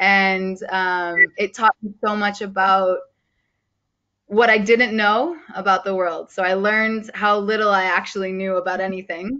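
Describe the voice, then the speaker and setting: A woman speaks at a fairly slow pace. Her pitch is medium and her intonation fairly even. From United States. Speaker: sport-for-development coach. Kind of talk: online training session introduction. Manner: loud.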